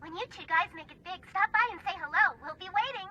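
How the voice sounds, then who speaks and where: Fairly quick speech comes in a put-on character voice. It is squeaky and extremely high in pitch. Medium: cartoon. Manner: warm, folksy.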